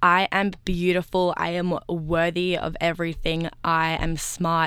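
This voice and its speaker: A woman speaks with an Australian accent and a fairly low pitch. The recording is very clean, with a silent background. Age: young. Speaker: community radio co-host. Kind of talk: casual chat.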